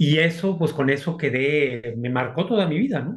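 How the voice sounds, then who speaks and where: A man speaks at a fairly slow pace in a somewhat breathy voice. His pitch sits fairly high. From Mexico, Aguascalientes. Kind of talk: interview testimony.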